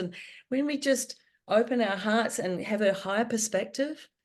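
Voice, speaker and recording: A woman with a New Zealand accent speaks at a moderate pace and a fairly high pitch. Her intonation is lively, and the background is quiet. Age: 60s. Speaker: author. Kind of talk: podcast interview answer.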